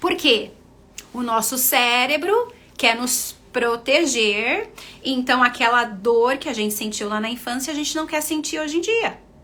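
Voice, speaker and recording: A woman with a Brazilian accent speaks fairly slowly at a high pitch, her voice raised and projected in an animated tone. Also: ordinary pitch variation. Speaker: nurse and confidence coach. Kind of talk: live stream talk.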